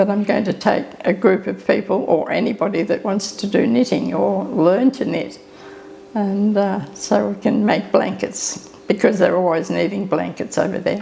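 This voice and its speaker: This speaker has an Australian accent. Noticeable background noise is present. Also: woman, moderate pace. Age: 80s+. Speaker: elderly interviewee. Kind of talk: interview.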